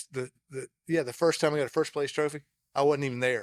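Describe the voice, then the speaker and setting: A man with an American accent talks at a fairly quick pace in a plain, everyday voice, his pitch fairly high and his intonation fairly even, recorded dry and close with no echo. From South Carolina. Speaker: podcast host. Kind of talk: casual conversation. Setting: busy restaurant.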